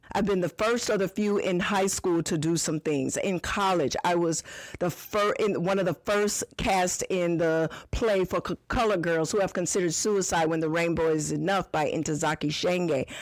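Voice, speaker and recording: In a plain, everyday voice, a woman speaks at a moderate pace and fairly low pitch, with ordinary pitch variation and very even loudness. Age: 60s. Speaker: podcast host and business owner. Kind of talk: podcast monologue answering a listener question.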